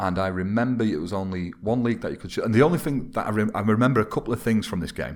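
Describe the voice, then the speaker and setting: A man speaks very fast with a Mancunian accent. His pitch is very deep and low, and the recording is very clean with a silent background. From Manchester, northern England. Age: 30s. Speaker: football video game YouTuber. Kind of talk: casual podcast interview.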